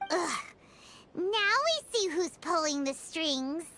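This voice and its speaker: The speaker uses a put-on character voice pitched extremely high. The delivery is very slow. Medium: video game. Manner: inquisitive.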